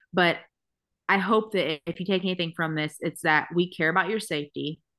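A fairly low-pitched woman with a bright, sharp tone and an American accent, at a fairly quick pace against a quiet background. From Texas. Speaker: podcast host. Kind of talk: casual chat. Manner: animated, chatty.

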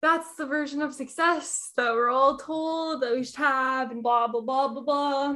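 Raised and projected, a woman's high-pitched voice has a bright, sharp tone and fairly even intonation, moving at a fairly slow pace with hardly any pauses. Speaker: yoga instructor and shadow work coach. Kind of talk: casual interview. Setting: guest's apartment.

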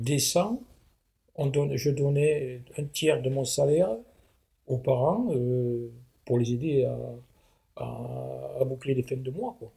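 A man talks with a somewhat breathy, dark and mellow tone at a fairly high pitch. His pitch varies in an ordinary way. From southwest France. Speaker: retired manual worker. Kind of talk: interview, life story. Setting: at home.

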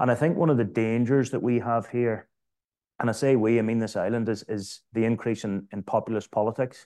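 Over a quiet background, a man with a Northern Irish accent speaks at a fairly quick pace in a dark, mellow tone, with fairly even intonation. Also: medium pitch for a man. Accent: Northern Irish (Belfast). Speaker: former political advisor and councillor, businessman. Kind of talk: panel discussion.

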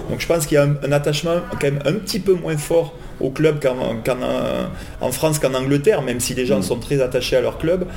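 In a room with audible echo and noticeable background noise, a man with a fairly high pitch talks at a fairly quick pace with ordinary pitch variation. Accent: southern French. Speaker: football supporter. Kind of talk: casual chat. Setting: in person studio.

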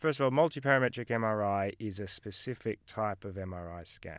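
In an Australian accent, a man talks with a fairly low pitch and ordinary pitch variation, recorded very cleanly against a silent background with a dry, close sound and no echo. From Australia, Melbourne. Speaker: GP and medical researcher. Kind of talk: interview.

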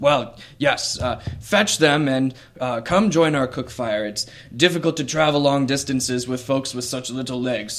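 Using a gruff, put-on character voice with a warm tone, a man speaks at a medium pitch and a moderate pace. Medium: actual play. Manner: warm, hearty.

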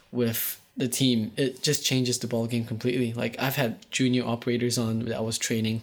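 This man has a medium pitch. He speaks at a moderate pace. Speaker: audio production host and monitor engineer. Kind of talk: casual podcast chat. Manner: playful, joking.

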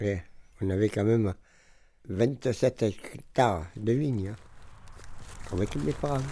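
Speaking at a very slow pace with long, frequent pauses, a man uses a fairly low, dark, mellow voice. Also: ordinary pitch variation. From Montpellier, southern France. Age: 70s. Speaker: retired winegrower. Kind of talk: casual chat.

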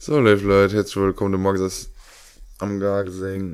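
A man speaks at a fairly low pitch. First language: Luxembourgish (speaking German). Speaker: podcast co-host. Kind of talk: casual chat.

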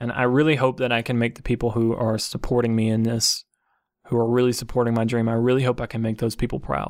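A man with a medium pitch speaks at a very fast pace in a monotone, flat way. The recording is very clean, with a silent background. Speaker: gaming podcaster and streamer. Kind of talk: solo podcast monologue. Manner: subdued tone in second half.

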